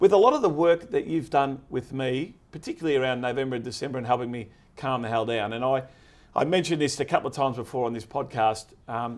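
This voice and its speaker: With an Australian accent, the speaker talks at a very fast pace in an energetic tone over a very clean, silent background. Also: man, medium pitch for a man, ordinary pitch variation. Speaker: podcast host. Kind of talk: casual interview chat.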